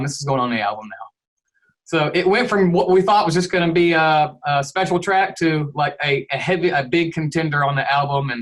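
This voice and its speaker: Speaking at a fairly quick pace, a man with an American accent talks at a high pitch with ordinary pitch variation. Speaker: rock band guitarist. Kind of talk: interview. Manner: casual.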